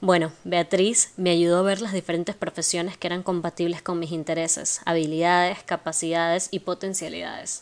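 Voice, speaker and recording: Her intonation monotone and flat, a woman talks at a moderate pace with hardly any pauses. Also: fairly low pitch for a woman. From Ecuador, Guayaquil. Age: 20s. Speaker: psychopedagogy student and podcaster. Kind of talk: monologue introduction.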